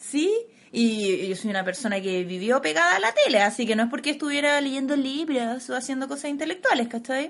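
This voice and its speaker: A woman with a Chilean accent speaks at a moderate pace and a high pitch. Her pitch swings very widely. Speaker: podcast co-host. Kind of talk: casual chat.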